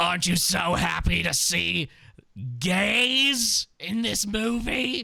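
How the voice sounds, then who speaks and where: Putting on a character voice, a man speaks very slowly at a high pitch, raspy and gravelly. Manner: exaggerated.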